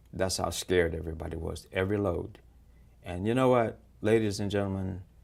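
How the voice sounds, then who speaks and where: Fairly quick and fairly even in intonation, a man speaks in a very deep, low pitch. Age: 70s. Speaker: mayoral candidate; military veteran. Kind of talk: interview. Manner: blunt, plainspoken.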